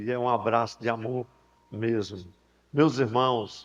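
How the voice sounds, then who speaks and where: A man at a medium pitch and a fairly slow pace. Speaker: pastor. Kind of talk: sermon. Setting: church convention with PA system. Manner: soft-spoken.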